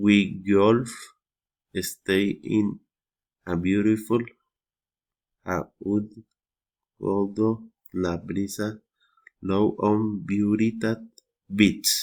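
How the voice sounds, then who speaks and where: A man speaks at a very slow pace and a fairly low pitch. His intonation is flat and monotone, broken by long, frequent pauses. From Colombia. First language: Spanish. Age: 30s. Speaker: English learner. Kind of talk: reading aloud. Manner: halting.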